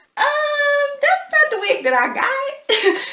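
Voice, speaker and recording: With lively intonation, a woman talks amid audible room echo. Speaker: beauty vlogger. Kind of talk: casual vlog review.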